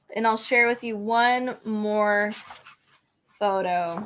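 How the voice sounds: Fairly bright tone at a slow pace, with ordinary pitch variation. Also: woman, medium pitch for a woman.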